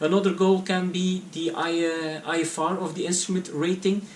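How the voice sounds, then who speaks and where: Noticeable background noise fills the recording. Through it, a man is talking. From Belgium (Flanders). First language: Dutch. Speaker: private pilot vlogger. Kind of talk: casual vlog to camera. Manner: halting, many fillers and repetitions.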